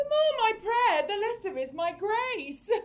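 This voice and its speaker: A woman puts on a squeaky character voice at an extremely high pitch. She speaks fairly slowly with very wide pitch swings. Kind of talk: archaic Shakespearean verse.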